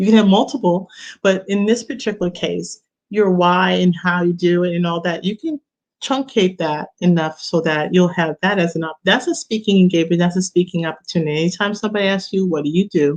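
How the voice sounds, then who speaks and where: The speaker has a New York accent and a fairly quick pace. Pitch variation is ordinary. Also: woman, medium pitch for a woman. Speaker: business coach. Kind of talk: online workshop talk. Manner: casual with filler words.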